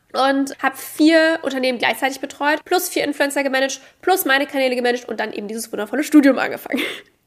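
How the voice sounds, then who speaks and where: Talking at a very fast pace with hardly any pauses, a woman with a high pitch sounds animated, her pitch varying in an ordinary way. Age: 20s. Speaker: podcast host, entrepreneur. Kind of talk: monologue, personal story. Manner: casual, animated.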